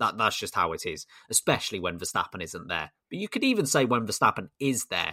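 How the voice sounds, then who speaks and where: On a very clean recording with a silent background, a man with a British accent speaks at a fairly quick pace in a bright, sharp tone. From Britain. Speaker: F1 podcast host. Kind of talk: casual chat.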